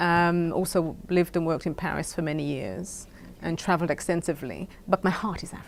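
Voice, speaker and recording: A woman with a British accent speaks at a fairly quick pace, her intonation fairly even. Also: fairly low pitch for a woman. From Caribbean. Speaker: founder of a children's essay contest. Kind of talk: interview.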